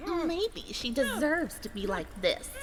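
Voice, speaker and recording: A put-on character voice, high in pitch and at a fairly slow pace, over loud background noise. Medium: read story. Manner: sneering, condescending.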